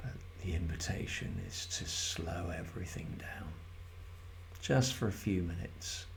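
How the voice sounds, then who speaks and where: A man's very deep, low, somewhat breathy voice with long, frequent pauses and audible room echo. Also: fairly slow pace. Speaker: mindfulness guide. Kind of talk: guided meditation. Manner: slow; soft-spoken.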